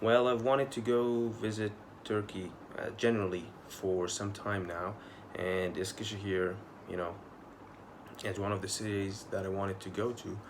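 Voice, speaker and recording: At a moderate pace with long, frequent pauses, a man with a fairly low voice and fairly even intonation talks over noticeable background noise and audible room echo. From Egypt, Mansoura. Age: 20s. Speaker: pharmacy student. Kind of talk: video application answering interview questions. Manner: hesitant, with fillers.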